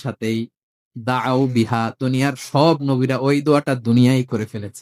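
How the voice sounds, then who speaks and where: Captured on a very clean recording, a man's voice sits over a silent background. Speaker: Islamic preacher. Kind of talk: religious sermon.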